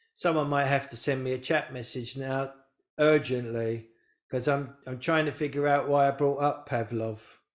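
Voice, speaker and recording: A man mumbles at a moderate pace in a fairly high voice. His intonation stays flat and monotone. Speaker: spiritual teacher. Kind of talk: live online talk to audience. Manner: mumbling a bit; rambling, halting.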